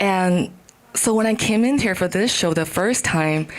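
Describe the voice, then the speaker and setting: Amid audible room echo and noticeable background noise, a woman speaks at a fairly slow pace in a fairly low pitch. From China. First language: not English (fourth language). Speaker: comedian. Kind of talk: stand-up. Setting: stage with audience. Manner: halting.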